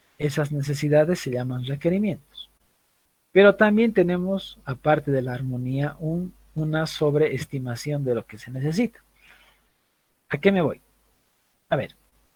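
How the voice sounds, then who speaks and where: Somewhat breathy, the voice moves at a fairly slow pace with ordinary pitch variation, big swings in loudness, and long, frequent pauses. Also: man, fairly high pitch for a man. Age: 30s. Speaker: university lecturer. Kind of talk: lecture.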